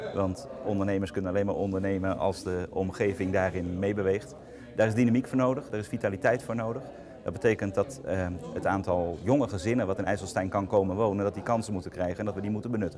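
Very fast speech from a man at fairly low pitch, fairly even intonation, with noticeable background noise. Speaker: local politician, alderman. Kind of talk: press interview. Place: meeting room.

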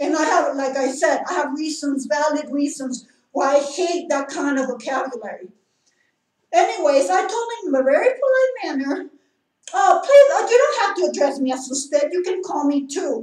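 At a moderate pace, a woman with a high voice speaks against a quiet background, with audible room echo. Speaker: vlogger telling a complaint. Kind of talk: casual vlog chat. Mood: indignant, complaining. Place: home room. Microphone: camera far.

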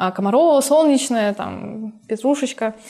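The woman's pitch varies in an ordinary way as she talks fairly slowly, with the background quiet. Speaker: youth group leader. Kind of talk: interview. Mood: warm, pleased reminiscing. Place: hall.

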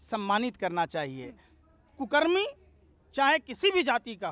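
A man speaks at a very slow pace with very wide pitch swings, in a dry recording with no echo. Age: 40s. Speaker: political commentator. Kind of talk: political interview. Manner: animated. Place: garden. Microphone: handheld.

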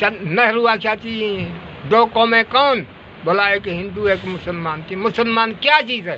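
Here a man speaks with a high pitch and ordinary pitch variation. There is light background noise. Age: 80s+. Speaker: elder recounting history. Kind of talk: oral history interview answer. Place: shop. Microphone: phone near.

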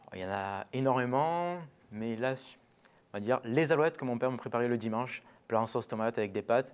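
This man speaks at a fairly quick pace with ordinary pitch variation, big swings in loudness, and long, frequent pauses. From Marseille, southern France. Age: young. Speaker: butcher; guest. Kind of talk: TV interview. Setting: TV studio. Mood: calm, relaxed, warm. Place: studio.

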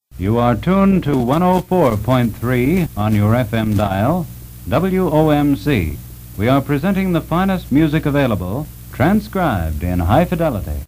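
A man's pitch swings very widely as light background noise sits underneath. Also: moderate pace. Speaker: radio announcer. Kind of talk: radio station identification and sign-off. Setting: vintage broadcast recording. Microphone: old recording.

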